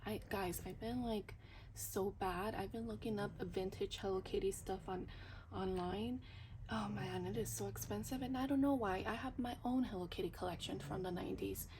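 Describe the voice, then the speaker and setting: There is audible room echo. A woman speaks at a moderate pace. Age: 30s. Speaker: budgeting vlogger. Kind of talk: casual vlog. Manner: whispering but trying to speak loudly; hesitant, many fillers.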